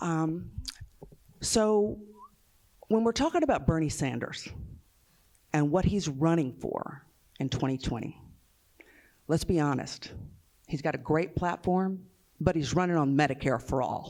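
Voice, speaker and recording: On a very clean recording with a silent background, a woman with a very deep, low pitch speaks at a fairly slow pace, using lively intonation and long, frequent pauses. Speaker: nurse and union activist. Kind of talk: panel talk. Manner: hesitant fillers.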